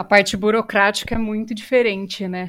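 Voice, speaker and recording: A woman's medium-pitched voice in a Brazilian accent, very clean recording, silent background. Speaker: podcast host, journalist and voice actress. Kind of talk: casual chat.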